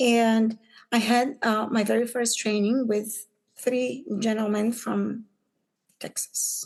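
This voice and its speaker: At a very slow pace, a woman with a fairly high voice speaks in a monotone, flat way. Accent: Bulgarian. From Bulgaria. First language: Bulgarian. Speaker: business owner, pattern maker. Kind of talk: podcast interview. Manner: halting, many fillers.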